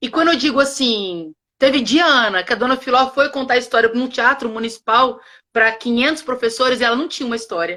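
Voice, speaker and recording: At a fairly quick pace, a woman speaks in a high pitch with ordinary pitch variation and an animated, bright, sharp tone. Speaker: educator and teacher trainer, co-founder. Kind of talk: live online conversation. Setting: live stream. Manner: fast.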